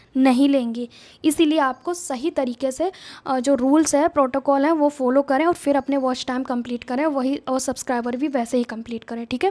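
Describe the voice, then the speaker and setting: Her pitch high and her tone dark and mellow, a woman talks at a moderate pace with fairly even intonation in a dry, close sound with no echo. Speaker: YouTuber giving channel-growth advice. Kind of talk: casual vlog tutorial.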